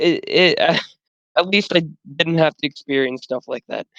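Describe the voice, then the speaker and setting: Moderate pace in an American accent, quiet background. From US Midwest. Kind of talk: casual chat.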